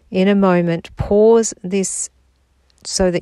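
A woman's calm, soothing voice with a dark, mellow tone on a very clean recording with a silent background. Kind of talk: guided meditation. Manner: slow, calm, soothing with long silent pauses.

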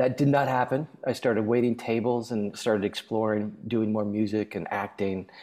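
With an American accent, a man talks at a moderate pace and medium pitch in an unremarkable speaking voice, his intonation fairly even. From US Midwest (Minneapolis, Nebraska). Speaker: singer-songwriter and author. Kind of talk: casual chat.

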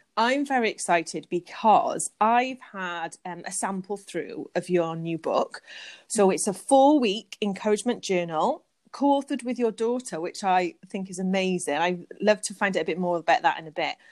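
A woman with a British accent speaks at a moderate pace and a medium pitch, with lively intonation and big swings in loudness. The sound is dry and close with no echo, on a very clean recording with a silent background. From UK. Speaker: podcast host. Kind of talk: casual interview chat; scripted narration.

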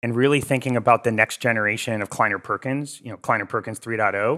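Over a very clean recording with a silent background, a man with an American accent speaks very fast in a medium pitch, his tone bright and sharp and his intonation fairly even. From Connecticut, US. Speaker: venture capital investor. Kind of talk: podcast interview.

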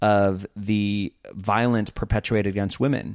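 A man has an ordinary speaking voice, fairly low in pitch, with fairly even intonation at a fairly slow pace. The recording is very clean, with a silent background and a dry, close sound with no echo. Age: 30s. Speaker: podcast host. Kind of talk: casual chat.

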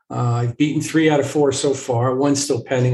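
A man's somewhat breathy voice carries fairly even intonation. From small town. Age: 60s. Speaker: family therapist. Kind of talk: interview. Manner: halting.

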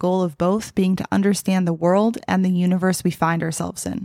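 A woman's medium-pitched voice at a fairly quick pace, an ordinary speaking voice, on a very clean recording with a silent background. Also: dry, close sound with no echo. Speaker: podcast host. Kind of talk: interview conversation.

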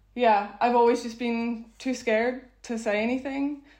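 At a moderate pace, a woman with a Belfast accent speaks in a fairly high pitch. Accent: Belfast Northern Irish. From Northern Ireland, Belfast. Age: 30s. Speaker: speed dating event organiser. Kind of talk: interview.

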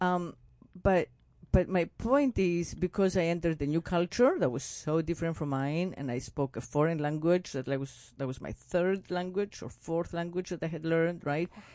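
Against a quiet background, a woman with a fairly low pitch and a dark, mellow tone speaks at a moderate pace. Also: ordinary pitch variation. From Lesbos, Greece. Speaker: podcast host, writer and artist. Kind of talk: casual interview chat.

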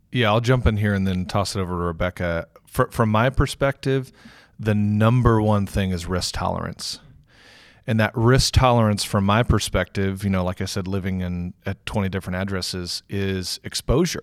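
Recorded very cleanly against a silent background with a dry, close sound and no echo, a man with an American accent and a normal speaking voice talks at a moderate pace and fairly low pitch, with ordinary pitch variation. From Texas, Houston. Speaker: innovation studio managing director, army veteran. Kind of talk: podcast interview.

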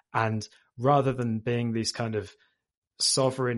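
A man with a British accent, medium pitch and monotone, flat intonation, at a moderate pace over a quiet background. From UK. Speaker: machine learning engineer. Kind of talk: interview. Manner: hesitant with fillers.

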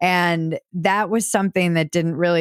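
Fairly low in pitch, a woman talks at a moderate pace in a plain, everyday voice. The recording is very clean and dry, close with no echo and a silent background. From US Midwest (Minnesota). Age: 40s. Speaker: podcaster and writer. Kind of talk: casual interview.

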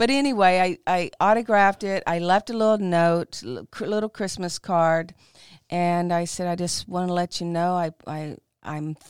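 A woman's plain, everyday voice, fairly low in pitch with ordinary pitch variation and a moderate pace, in a very clean recording with a silent background and a dry, close sound with no echo. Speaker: cocktail historian and bartender. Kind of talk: casual interview conversation.

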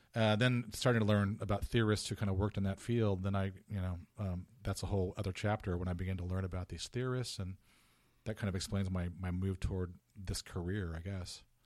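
A man with a Californian accent and very deep, low pitch talks at a fairly quick pace in fairly even intonation, on a very clean recording with a silent background. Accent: Californian American. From Southern California (Orange County). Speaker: theology and English professor. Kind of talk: casual interview. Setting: office. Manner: halting, with frequent repetitions.

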